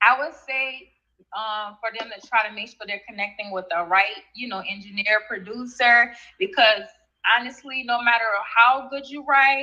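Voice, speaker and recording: A fairly high-pitched woman's voice with a New Orleans accent. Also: ordinary pitch variation, moderate pace, big swings in loudness. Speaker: rap artist. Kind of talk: radio interview.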